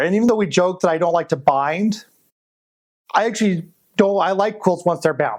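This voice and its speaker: Lively intonation from a man with a high pitch, at a fairly quick pace. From Colorado. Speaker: quilt designer and shop owner. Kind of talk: interview testimony. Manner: casual.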